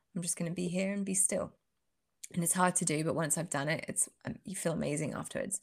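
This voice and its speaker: A woman talks at a very fast pace in a fairly low, somewhat breathy voice. Her pitch varies in an ordinary way. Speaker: podcast co-host. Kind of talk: casual chat.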